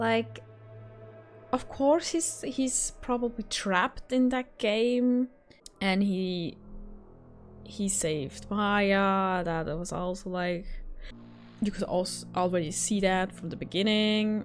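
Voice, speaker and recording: A woman with a non-native accent speaks at a very slow pace, leaving long, frequent pauses. Her medium pitch moves with lively intonation, and music plays in the background. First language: not English. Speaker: gaming YouTuber. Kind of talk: game review wrap-up. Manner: hesitant, many fillers.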